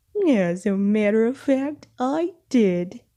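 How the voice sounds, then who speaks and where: In a put-on character voice, a woman talks at a very slow pace with a fairly high pitch. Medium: read story. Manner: cheerful, giggly.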